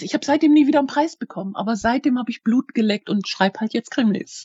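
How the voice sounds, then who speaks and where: This woman talks at a fairly quick pace in a high pitch, with lively intonation. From Germany, Schwäbisch Hall (Hohenlohe). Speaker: crime novelist. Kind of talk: interview.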